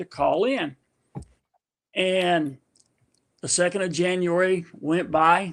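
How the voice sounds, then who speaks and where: Pitched high, a man talks with an American accent. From US, grew up as Army brat. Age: 60s. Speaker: army veteran and giveaway winner. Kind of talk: casual chat. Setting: live stream.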